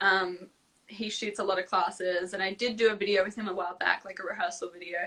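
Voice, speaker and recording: A woman speaks very fast in an Australian accent. Her medium-pitched voice has monotone, flat intonation. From Australia, Melbourne and Sydney. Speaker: singer-songwriter and dancer. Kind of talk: casual interview chat. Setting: live video stream.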